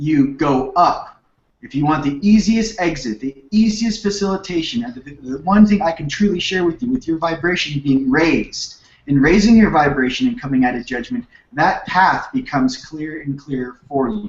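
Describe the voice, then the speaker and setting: A man speaks with a Californian accent and a high pitch. His pitch swings very widely. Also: moderate pace. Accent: Californian surfer dude. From Southern California (Manhattan Beach). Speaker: spiritual teacher. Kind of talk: radio interview.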